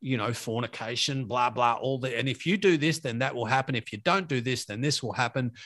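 With an Australian accent, a man speaks at a fairly quick pace with hardly any pauses. His pitch is medium, with ordinary variation. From Australia, Victoria (Latrobe Valley). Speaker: podcast host. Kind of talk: casual chat.

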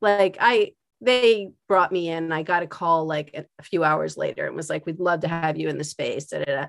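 Speaking with an American accent, a woman keeps a moderate pace. She leaves hardly any pauses. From Philadelphia. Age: 50s. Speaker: art teacher. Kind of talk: casual chat.

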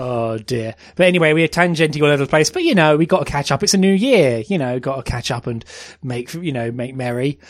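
A man with a British accent speaks at a fairly quick pace and a fairly high pitch. His pitch varies in an ordinary way, and the recording is very clean with a silent background. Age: 30s. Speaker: podcast host. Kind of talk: casual chat.

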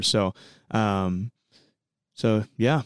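A man with an American accent, recorded dry and close with no echo, on a very clean recording with a silent background. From US Midwest, central Illinois. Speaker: student worship leader. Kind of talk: casual chat. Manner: halting.

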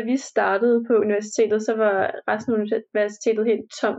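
A fairly high-pitched woman speaks at a moderate pace in a flat, monotone way. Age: 20s. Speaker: university student. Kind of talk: casual interview. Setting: recorded remotely, separate rooms.

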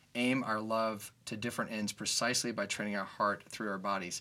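This is a man with a normal speaking voice and an American accent. He talks at medium pitch and a fairly quick pace with fairly even intonation. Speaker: podcast host. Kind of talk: casual conversation. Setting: studio.

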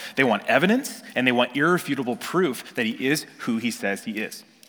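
A man with an American accent, at a moderate pace, with lively intonation. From Northern California. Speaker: pastor. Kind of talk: sermon.

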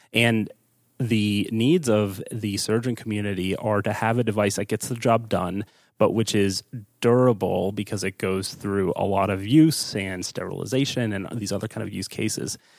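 Speaking at a moderate pace with an American accent, a man has an unremarkable speaking voice, fairly low in pitch and fairly even in intonation, on a very clean recording with a silent background. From US East Coast. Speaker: startup co-founder. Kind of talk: interview.

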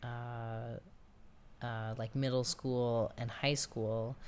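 Speaking at a very slow pace, the voice has a New York accent. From New York City, Queens. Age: 30s. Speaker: oral history interviewee. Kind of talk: oral history interview.

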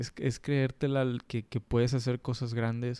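A man's dark, mellow tone at a very slow pace, with fairly even intonation and a dry, close sound free of echo. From Monterrey, Mexico. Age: 30s. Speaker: photographer. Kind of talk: casual chat. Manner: halting.

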